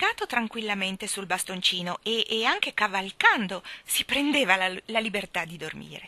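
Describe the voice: The voice is plain reading aloud. It comes across as plain reading aloud throughout.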